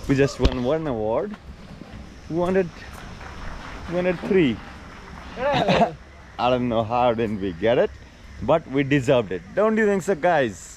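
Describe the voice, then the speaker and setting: A man speaks at a fairly slow pace with long, frequent pauses, his dry voice carrying no echo over noticeable background noise. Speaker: car owner vlogger. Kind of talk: casual vlog chat. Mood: cheerful, slightly disappointed. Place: garden. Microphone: phone near.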